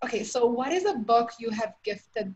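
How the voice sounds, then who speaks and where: A woman's fairly high, somewhat breathy voice, lively in intonation, at a moderate pace. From outside the US. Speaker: podcast host. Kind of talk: interview.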